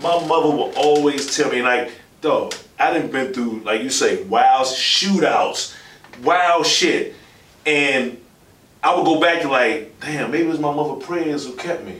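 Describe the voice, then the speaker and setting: Against noticeable background noise and audible room echo, a man with a fairly high pitch talks at a fairly slow pace. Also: ordinary pitch variation. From Washington DC, Southeast/uptown. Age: 30s. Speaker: podcast host. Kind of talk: casual chat.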